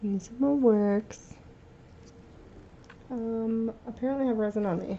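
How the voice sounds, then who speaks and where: Amid noticeable background noise, a woman with a fairly high pitch speaks at a fairly slow pace and fairly even intonation. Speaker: resin artist. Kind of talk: tutorial.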